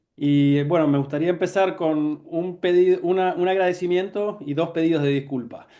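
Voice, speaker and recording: A man speaks at a fairly slow pace. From Argentina. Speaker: neurology professor. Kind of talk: lecture. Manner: halting, many fillers.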